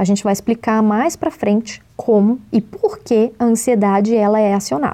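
A woman's plain, everyday voice at a moderate pace, hardly any pauses, ordinary pitch variation and very even loudness. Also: fairly high pitch for a woman. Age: 20s. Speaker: podcast host, journalist. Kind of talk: scripted narration.

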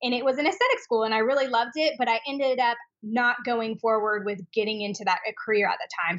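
In a plain, everyday voice, a woman talks at a fairly quick pace with a fairly high pitch. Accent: American. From Washington State (Spokane). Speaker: esthetician and skincare business owner. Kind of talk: interview.

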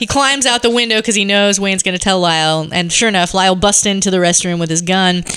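A woman talks at a very fast pace and medium pitch with ordinary pitch variation and hardly any pauses, amid noticeable background noise. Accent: American. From Seattle, US Pacific Northwest. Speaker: podcast guest, film discussant. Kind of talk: casual chat with plot recaps. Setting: home basement recording with others at a table.

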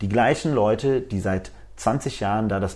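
A dark, mellow tone comes through in a very clean recording with a silent background. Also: man. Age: 30s. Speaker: media technology executive. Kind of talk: interview. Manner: hesitant, many fillers.

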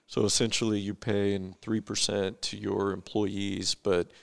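With an American accent, a man speaks at a moderate pace in a fairly low pitch with vocal fry. His intonation is fairly even, and the sound is dry and close with no echo. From California. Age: 40s. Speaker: investment advisor and entrepreneur. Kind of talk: casual interview.

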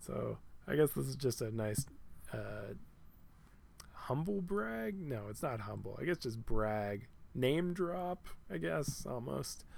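At a very slow pace, a man of medium pitch speaks with long, frequent pauses. His pitch swings very widely. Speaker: solo podcast host. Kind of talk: casual solo monologue. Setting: lying down while recording. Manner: halting, many fillers.

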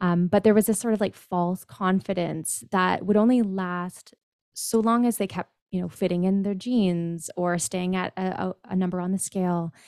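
In a plain, everyday voice with a Canadian accent, a woman speaks at medium pitch and a moderate pace with fairly even intonation and hardly any pauses, on a very clean recording with a silent background and a dry, close sound with no echo. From Ontario, Canada. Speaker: personal trainer and body image coach. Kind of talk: interview.

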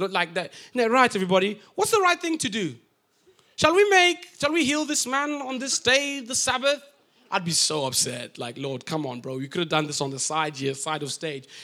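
A raised, projected male voice, high in pitch with a bright, sharp tone and very wide pitch swings, at a moderate pace in a very clean recording with a silent background. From Africa. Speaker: pastor. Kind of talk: sermon. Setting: church.

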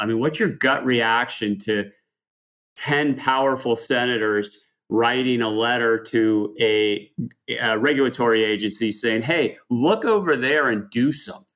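A man's plain, everyday voice at a medium pitch, fairly slow in pace, with ordinary pitch variation. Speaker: podcast host, lawyer. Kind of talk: podcast interview.

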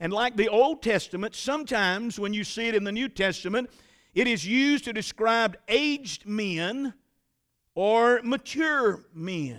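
On a very clean recording with a silent background, a man with a high pitch speaks at a fairly slow pace with ordinary pitch variation. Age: 60s. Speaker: pastor. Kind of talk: sermon. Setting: church.

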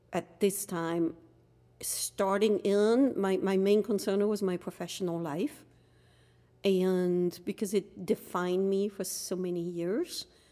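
In a very clean recording with a silent background, a woman with a French accent speaks in a dark, mellow tone with fairly even intonation. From France, Dunkirk. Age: 50s. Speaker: podcast guest, host's wife. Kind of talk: casual chat.

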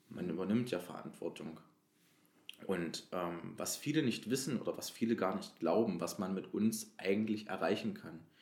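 A plain, everyday voice with ordinary pitch variation at a moderate pace. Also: man, fairly low pitch for a man. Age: 20s. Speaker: youth council member, trainee educator. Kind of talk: interview.

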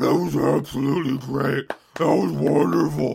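A man uses a put-on character voice at a fairly high pitch with fairly even intonation. His slightly mellow tone carries vocal fry and a husky, rough edge. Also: moderate pace.

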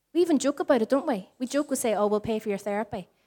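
With a Northern Irish accent, a woman speaks with lively intonation. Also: very clean recording, silent background. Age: 40s. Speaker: pastor. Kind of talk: sermon. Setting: church.

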